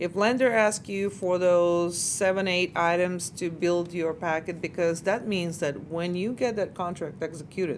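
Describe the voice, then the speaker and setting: A woman with an ordinary speaking voice and fairly low pitch talks at a moderate pace, with fairly even intonation and hardly any pauses. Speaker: mortgage lending host and interviewer. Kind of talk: interview question.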